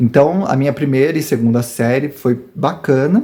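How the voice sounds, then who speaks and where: A fairly high-pitched male voice, somewhat breathy, at a fairly slow pace with ordinary pitch variation. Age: 40s. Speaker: YouTuber. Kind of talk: personal testimony. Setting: rural farm home.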